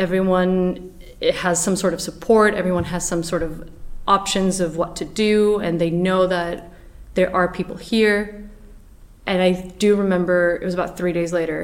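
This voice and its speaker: A woman talks at a moderate pace in a flat, monotone delivery. Background noise is noticeable throughout. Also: medium pitch for a woman. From Portugal. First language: Portuguese. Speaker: actress. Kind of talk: interview. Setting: studio.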